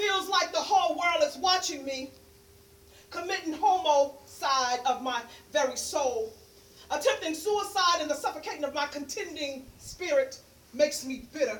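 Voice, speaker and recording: A woman speaks with an American accent at a moderate pace. Her voice is high-pitched, and her intonation is lively. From New York, Harlem. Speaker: poet and peer specialist. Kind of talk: spoken word poetry performance; casual talk to audience.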